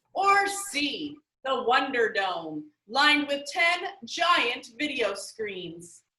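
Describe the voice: A woman puts on a character voice, high-pitched with big pitch swings and a bright, sharp tone. She speaks at a very slow pace, with audible room echo around her.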